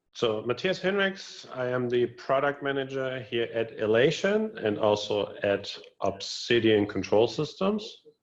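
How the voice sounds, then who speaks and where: A man with a slight German accent speaks at a medium pitch and a fairly slow pace. His pitch swings very widely, and he hardly pauses. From northern Germany (Wilhelmshaven). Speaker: lighting product manager. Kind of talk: webinar interview.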